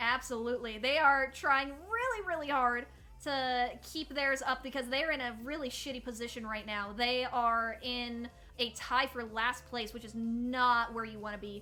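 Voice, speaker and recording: A woman with a high pitch speaks at a moderate pace, her loudness swinging widely. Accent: American. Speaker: tournament host and caster. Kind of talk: live esports commentary. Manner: animated.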